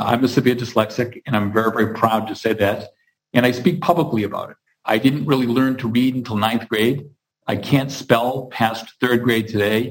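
A normal speaking voice, this man's sits at a medium pitch, with fairly even intonation and a moderate pace. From Massachusetts (Hingham, near Boston). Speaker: construction company CEO. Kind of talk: interview.

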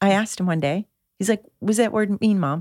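A woman with an American accent speaks at a moderate pace, her medium-pitched voice dark and mellow, the sound dry and close with no echo in a very clean recording over a silent background. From Michigan, outside Detroit. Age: 50s. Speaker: author and mother. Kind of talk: casual chat.

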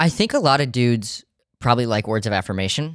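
With an American accent, a man talks at a very fast pace in a medium pitch with ordinary pitch variation, on a very clean recording with a silent background. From US South, Savannah, Georgia. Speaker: comedian. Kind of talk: casual chat. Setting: studio.

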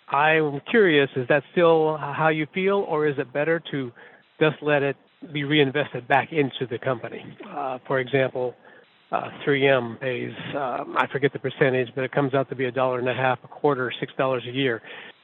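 A man in an American accent speaks at a fairly high pitch and a moderate pace. His intonation is fairly even, and there is noticeable background noise. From US Midwest, Iowa. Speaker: truck driver, caller. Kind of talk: recorded voicemail question.

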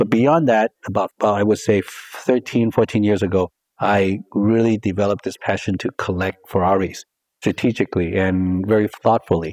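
A man with an American accent and a plain, everyday voice speaks at a moderate pace, fairly low in pitch with fairly even intonation, over a quiet background. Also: dry, close sound with no echo. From Hong Kong and Southern California. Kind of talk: interview.

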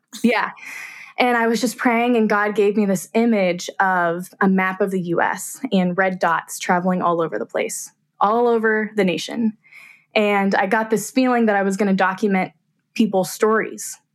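A woman with an American accent talks at a moderate pace in a normal speaking voice, her medium pitch held in a fairly even intonation. The recording is very clean, with a silent background. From Kansas, US Midwest. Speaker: portrait photographer. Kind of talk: casual chat.

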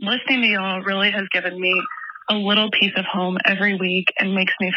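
A woman with an American accent talks at medium pitch in a monotone, flat way over noticeable background noise. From US South, Tennessee (Franklin). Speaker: caller, graduate student. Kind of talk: voice message to a podcast.

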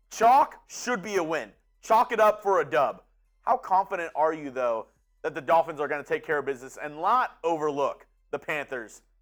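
With music playing behind him, a man speaks at a moderate pace in an animated tone with lively intonation. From Houston area, Texas. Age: 20s. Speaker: sports show co-host/producer. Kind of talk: casual sports chat. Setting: studio.

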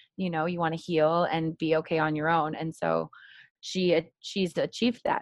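Over a quiet background, a woman with a fairly low pitch speaks at a moderate pace. Her intonation is monotone and flat, and the sound is dry and close with no echo. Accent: American. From California, Marin County. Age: 30s. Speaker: art therapist. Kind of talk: interview.

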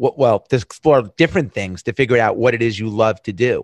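The sound is dry and close with no echo, against a quiet background. A man speaks in a New York accent. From US Northeast, Long Island, New York. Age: 50s. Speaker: entrepreneur. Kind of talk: casual chat. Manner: animated.

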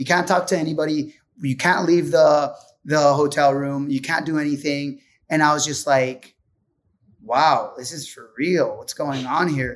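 A man with a Puerto Rican accent talks fairly slowly in a fairly high voice, his intonation fairly even but his loudness swinging widely. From Puerto Rico. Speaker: pro surfer. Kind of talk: casual chat.

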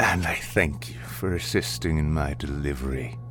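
A man performs a put-on character voice at a moderate pace. Clear music plays in the background. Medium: audio drama. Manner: jeering, salacious, contemptuous.

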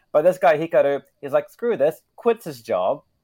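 A man with a New Zealand accent, his tone dark and mellow, in a dry, close sound with no echo. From New Zealand, Wellington. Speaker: international news correspondent. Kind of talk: casual news chat.

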